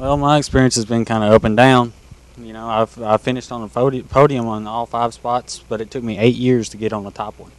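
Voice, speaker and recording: Very fast and in a monotone, flat intonation, a man with a Kentucky accent talks with big swings in loudness. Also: medium pitch for a man. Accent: Southern US (Kentucky). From Kentucky, Glasgow. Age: young. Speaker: kart racer. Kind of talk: live interview.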